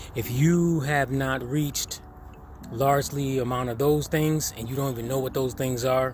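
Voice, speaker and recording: A man at medium pitch, with ordinary pitch variation, is heard amid audible room echo and noticeable background noise. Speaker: personal development vlogger. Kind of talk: freestyle monologue. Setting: outdoors at a dock. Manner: usually a fast talker.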